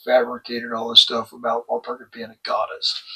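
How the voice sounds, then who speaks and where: A man's medium-pitched voice with a Texan accent. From Texas. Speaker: religious educator and channel host. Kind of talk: lecture.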